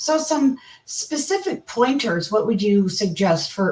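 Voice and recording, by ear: A woman's put-on character voice, hoarse and fairly high, swinging very widely in pitch at a fairly slow pace.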